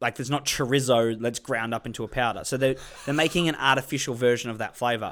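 On a very clean recording with a silent background, a man with an Australian accent talks at a very fast pace, medium in pitch and fairly even in intonation. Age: 20s. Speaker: comedy podcast co-host. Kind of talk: casual chat.

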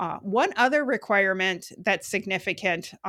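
Bright and sharp in tone, a woman speaks at a medium pitch with an American accent. The recording is very clean, with a silent background. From Western Wisconsin. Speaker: health center finance executive. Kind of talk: interview.

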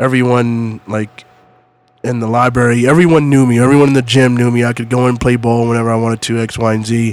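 A man's medium-pitched, monotone and flat delivery in an American accent at a very fast pace. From US East Coast. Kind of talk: casual chat. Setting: studio.

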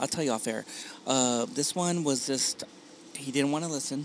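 Lively intonation from a man with a fairly high pitch, amid noticeable background noise. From Long Beach and Wilmington, California; Mexican-American. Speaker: podcaster. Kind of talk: casual chat. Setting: outdoor patio of a coffee shop.

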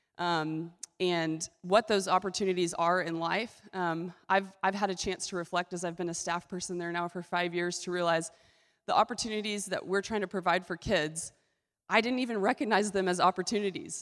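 Over a silent background in a very clean recording, a woman with an unremarkable speaking voice talks at medium pitch and a moderate pace with fairly even intonation. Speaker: ministry representative. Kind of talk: presentation to a church congregation. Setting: church stage with audience.

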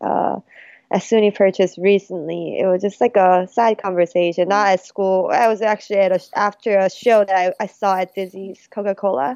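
Moderate-paced speech with a Korean accent. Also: woman. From South Korea, then Colorado from age 14. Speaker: jazz pianist and music student. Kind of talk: casual interview chat. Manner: halting.

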